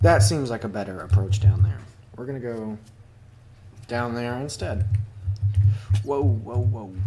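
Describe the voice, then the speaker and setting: A man's fairly low, somewhat breathy voice has a dark, mellow tone and a fairly slow pace with long, frequent pauses. His loudness swings widely, and room echo is audible. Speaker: gaming video creator. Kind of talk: gameplay commentary. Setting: home recording with a cat. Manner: casual, hesitant with fillers.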